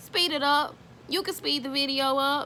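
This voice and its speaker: A woman with an American accent speaks in a raised, projected voice at a high pitch. Her intonation is lively and her tone bright and sharp. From Houston, Texas. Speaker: service dog handler and video creator. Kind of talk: casual informal talk to camera. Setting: at home. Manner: halting, many fillers.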